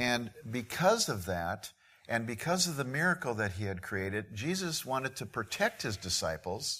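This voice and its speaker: In a very clean recording with a silent background, a man of medium pitch talks fairly slowly in a bright, sharp tone, his pitch swinging very widely. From Midwest US. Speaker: missionary preacher. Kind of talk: sermon.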